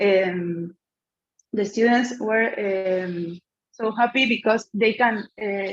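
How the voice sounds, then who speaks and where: A woman talks with a Spanish accent. Her pitch is medium, with ordinary pitch variation. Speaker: conference presenter. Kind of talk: Q&A answer. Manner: halting, many fillers.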